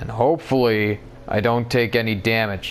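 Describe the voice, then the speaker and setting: Mumbling at a moderate pace, a man speaks in a medium pitch. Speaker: gamer. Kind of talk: let's play game commentary.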